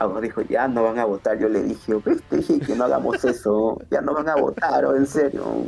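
Loudness holds very even throughout. The man talks at a moderate pace. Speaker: professional wrestler. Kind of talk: casual chat.

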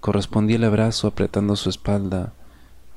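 Natural voice for reading

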